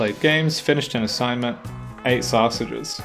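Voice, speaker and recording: Music plays behind a man who speaks at a medium pitch with an Australian accent. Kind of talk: casual letter reading to camera.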